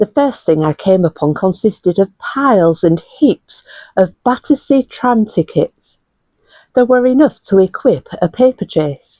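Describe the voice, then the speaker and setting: A woman in a Hull accent, medium-pitched with a dark, mellow tone and very wide pitch swings, at a fairly slow pace with very even loudness, in a dry, close, very clean recording with a silent background. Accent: Hull, northern English. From Hull, England. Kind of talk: literary essay reading. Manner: clear.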